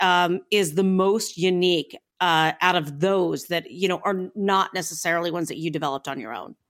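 A woman talks at a moderate pace. She has an unremarkable speaking voice at medium pitch. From Northeastern Ohio. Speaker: food podcast host. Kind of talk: casual interview.

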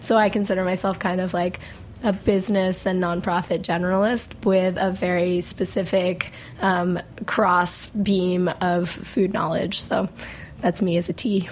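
Over noticeable background noise, a woman of medium pitch speaks fairly slowly in a monotone, flat intonation. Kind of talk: casual interview chat. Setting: live from restaurant.

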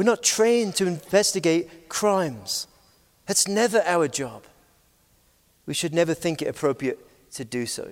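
At a moderate pace and with long, frequent pauses, a man with a British accent talks at a high pitch. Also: lively intonation. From Scotland, Aberdeen. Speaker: pastor. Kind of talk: conference talk. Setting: stage with audience.

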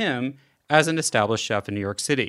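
A man is speaking. His pace is fairly quick. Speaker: podcast host and foundation director. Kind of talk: interview.

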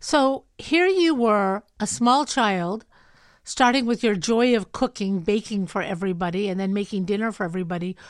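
A plain, everyday voice with lively intonation at a moderate pace. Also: woman, medium pitch for a woman. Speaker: podcast host. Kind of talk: casual interview conversation.

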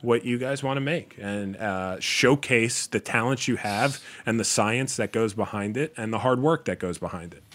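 A man with an American accent talks at a moderate pace in an unremarkable speaking voice. His pitch sits in the middle range, with ordinary pitch variation. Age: 30s. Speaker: beer store owner. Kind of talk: casual chat.

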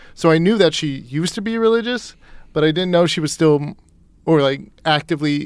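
A man's fairly high, plain, everyday voice at a moderate pace with ordinary pitch variation. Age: 20s. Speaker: litigant, plaintiff. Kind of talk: casual chat.

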